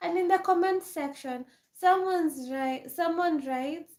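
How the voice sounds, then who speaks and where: A woman speaks with an African accent. Her pace is fairly slow. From Kenya. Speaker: live streamer. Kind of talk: casual chat. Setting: livestream.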